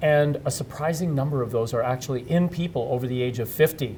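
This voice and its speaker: A man's somewhat breathy voice moves fairly fast, its pitch shifting in an ordinary way. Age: 60s. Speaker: HIV activist and presenter. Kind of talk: interview. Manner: hesitant, with fillers.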